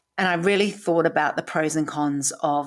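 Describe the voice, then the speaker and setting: A woman speaks with a British accent. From UK. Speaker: podcast host living with MS. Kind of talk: personal storytelling monologue. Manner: humorous, uses comedy, occasionally swears; halting at times, word mix-ups.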